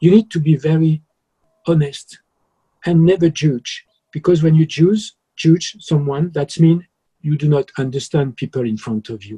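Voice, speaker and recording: With a French accent, a man speaks in a dark, mellow tone at a fairly high pitch and moderate pace, with ordinary pitch variation and long, frequent pauses. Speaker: journalist. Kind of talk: interview.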